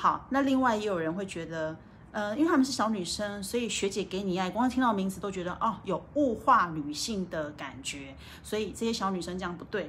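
A woman speaks at medium pitch with a Taiwanese accent. Her pace is fairly quick and her intonation lively. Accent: Taiwanese Mandarin. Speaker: livestream host. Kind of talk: livestream book talk. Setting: hotel room. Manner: casual, slightly halting.

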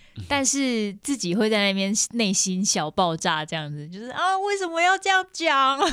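Noticeable background noise sits behind a woman with a fairly high pitch and very wide pitch swings. She keeps a moderate pace with hardly any pauses. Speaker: singer-songwriter. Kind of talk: casual interview chat.

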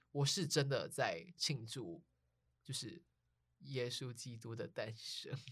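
Long, frequent pauses break up this very slowly paced speech. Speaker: podcast host. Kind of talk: casual chat.

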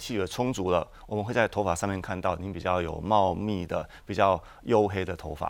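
This man has a fairly low pitch and a plain, everyday voice. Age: 40s. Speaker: traditional Chinese medicine doctor. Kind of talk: tutorial.

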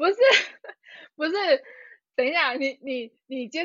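A woman's animated tone at a fairly quick pace. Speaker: podcast co-host. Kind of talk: casual chat.

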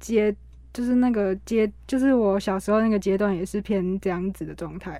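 A woman talks at a moderate pace, her pitch medium with ordinary variation. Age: young. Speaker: university student and cancer survivor. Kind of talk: interview testimony. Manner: halting, many fillers.

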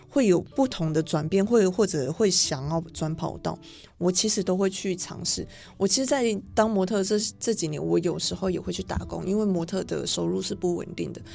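Over music in the background, a woman speaks at a fairly quick pace with a fairly low pitch and ordinary pitch variation. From Taiwan. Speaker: fashion model. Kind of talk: radio interview. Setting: radio studio.

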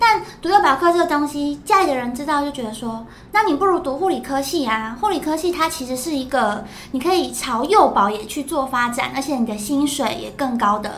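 A woman's high-pitched voice with a Taiwanese accent, a fairly quick pace, audible room echo and noticeable background noise. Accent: Taiwanese Mandarin. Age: 20s. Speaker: former nurse. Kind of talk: interview testimony.

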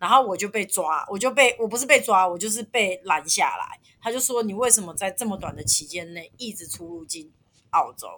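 A bright, sharp tone at a fairly quick pace, with ordinary pitch variation and big swings in loudness. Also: woman, fairly high pitch for a woman. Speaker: former working holiday traveller in Australia. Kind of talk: casual chat.

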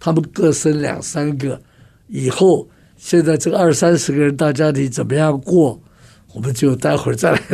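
A man's fairly high-pitched voice with a dark, mellow tone, ordinary pitch variation and a moderate pace. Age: 80s. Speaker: communication trainer and author. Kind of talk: radio interview.

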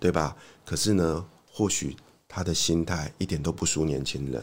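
A man's very deep, low voice with vocal fry at a moderate pace, on a very clean recording with a silent background. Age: 40s. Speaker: author, former ad sales worker. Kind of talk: casual interview. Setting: studio.

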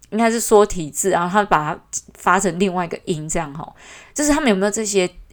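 Her pitch sits in the medium range for a woman. She speaks very fast. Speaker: podcast host. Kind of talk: casual monologue. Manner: hesitant, many fillers.

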